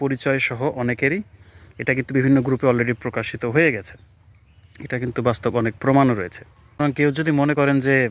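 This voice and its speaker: A man talks in a plain, everyday voice at a medium pitch. His intonation stays fairly even. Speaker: YouTuber. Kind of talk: opinion vlog monologue.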